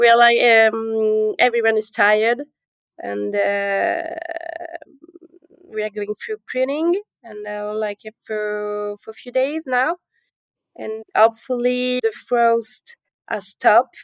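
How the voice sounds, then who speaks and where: Very slow speech in a French accent comes with long, frequent pauses and big swings in loudness, recorded dry and close with no echo. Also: woman, fairly high pitch for a woman, ordinary pitch variation. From Calabria and Paris. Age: young. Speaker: winemaker. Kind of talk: interview. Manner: halting.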